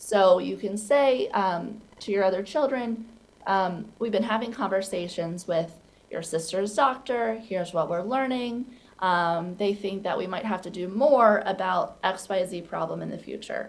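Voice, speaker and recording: A woman's ordinary speaking voice at medium pitch, fairly slow, with ordinary pitch variation. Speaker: clinician and parent support speaker. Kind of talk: presentation. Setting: virtual presentation.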